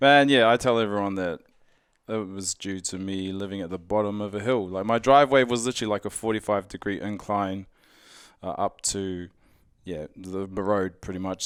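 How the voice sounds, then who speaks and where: A man with a New Zealand accent talks at a fairly low pitch with fairly even intonation. The recording is very clean, and the background is silent. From New Zealand, Auckland. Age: 30s. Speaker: strongman athlete. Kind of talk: casual interview.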